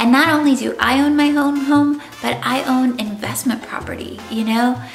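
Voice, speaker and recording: Against background music and audible room echo, a woman speaks at a high pitch and moderate pace with fairly even intonation. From US, Cuban-American family. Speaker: real estate agent. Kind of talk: casual vlog monologue. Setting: at home.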